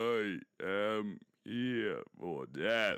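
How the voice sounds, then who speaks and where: Using a put-on character voice, a man speaks at a fairly low pitch. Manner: scary.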